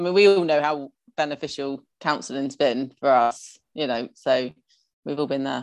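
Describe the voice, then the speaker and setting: A woman's very deep, low voice at a moderate pace, with ordinary pitch variation against a quiet background. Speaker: podcast co-host. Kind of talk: casual chat.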